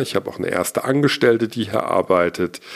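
The speaker is a man. His pitch is medium. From Hesse, Germany (Gießen). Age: 40s. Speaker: podcaster and YouTuber, media entrepreneur. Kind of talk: solo monologue, personal story.

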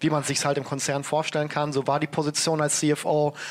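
A man with a plain, everyday voice speaks at a moderate pace and a fairly high pitch. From Germany, Ruhr area (Bochum). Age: 30s. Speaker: entrepreneur. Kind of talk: interview.

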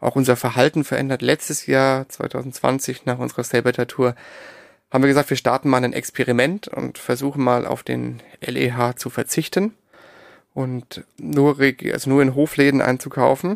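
In an ordinary speaking voice, a man talks at a moderate pace and medium pitch, with fairly even intonation and a dry, close sound with no echo. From Darmstadt near Frankfurt, Germany. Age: 30s. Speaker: entrepreneur, founder of a farm-camping platform. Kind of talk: interview. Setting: separately recorded audio track.

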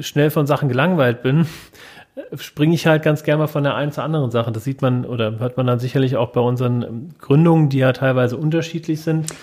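A man with a plain, everyday voice, medium in pitch, at a moderate pace with fairly even intonation. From Hesse, Germany (Wiesbaden). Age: 30s. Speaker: podcast co-host, founder. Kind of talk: casual chat.

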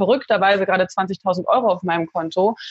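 A woman speaks in a medium pitch, somewhat breathy, with ordinary pitch variation. The sound is dry and close, without echo. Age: 30s. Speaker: life coach. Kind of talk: interview.

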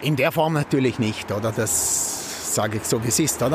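A man speaks with lively intonation. There is noticeable background noise. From Austria, Vorarlberg (Feldkirch). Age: 60s. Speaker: chef. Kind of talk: casual conversation over dinner.

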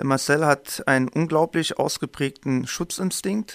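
The recording is very clean, with a silent background and a dry, close sound with no echo. A man speaks at a very slow pace. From Germany, Main-Taunus district (Hesse). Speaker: violence prevention trainer, podcast co-host. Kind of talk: casual introduction chat.

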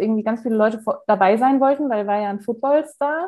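Moving at a fairly quick pace, the speaker has a dark, mellow tone. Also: woman. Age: 20s. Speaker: law trainee. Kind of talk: casual chat. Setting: at home, remote call.

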